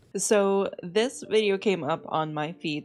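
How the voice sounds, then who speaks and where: A woman's intonation is lively as music plays behind her. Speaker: VTuber. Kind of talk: casual reaction commentary to camera.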